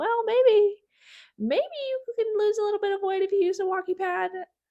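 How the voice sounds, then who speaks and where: An extremely high-pitched, put-on character voice. It moves at a moderate pace. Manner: tempted, coaxing.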